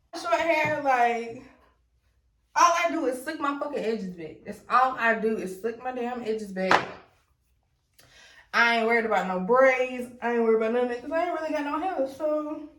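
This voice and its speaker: In a room with audible echo, a woman speaks high and fast-ish, at a fairly quick pace, in an animated tone with ordinary pitch variation. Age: 20s. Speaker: beauty YouTuber. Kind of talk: tutorial. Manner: casual, animated.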